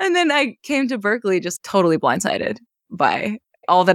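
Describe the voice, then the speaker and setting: With an American accent, a woman talks at a fairly quick pace in an unremarkable speaking voice, her intonation lively. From US Northeast, rural western Maine. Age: 20s. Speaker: bassist and composer. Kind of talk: casual interview.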